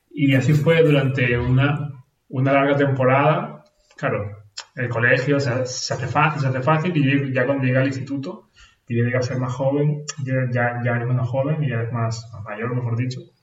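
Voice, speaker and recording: A man speaks at a moderate pace with fairly even intonation. Audible room echo surrounds his voice. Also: medium pitch for a man. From Venezuela, moved to Spain at seven. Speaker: nurse. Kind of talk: casual interview conversation. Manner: halting, with many repetitions.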